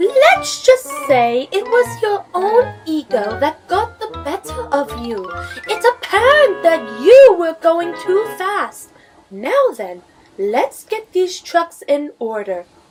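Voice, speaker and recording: A put-on character voice at a very slow pace over faint music in the background. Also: woman, extremely high pitch for a woman. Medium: audio drama. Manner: brisk, no-nonsense.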